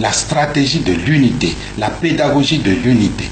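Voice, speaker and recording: A man's medium-pitched voice at a very slow pace, with ordinary pitch variation, audible room echo and noticeable background noise. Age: 60s. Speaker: political figure interviewed. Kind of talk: radio interview testimony. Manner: halting, repeats words.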